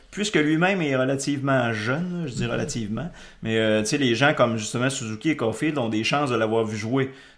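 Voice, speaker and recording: A man with a medium pitch talks at a fairly quick pace, with audible room echo. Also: ordinary pitch variation. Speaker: podcast host. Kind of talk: casual chat.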